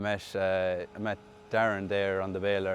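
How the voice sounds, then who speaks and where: A man is speaking. He has a western Irish accent. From Ireland, County Mayo. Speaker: tractor driver. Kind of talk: interview.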